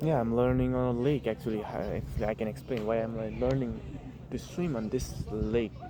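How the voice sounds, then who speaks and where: The speaker has a non-native accent and talks at a fairly quick pace. Noticeable background noise is present. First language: not English (English is third language). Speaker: vlogger. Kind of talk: casual vlog monologue. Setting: outdoors at a lake. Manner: halting, repeats words.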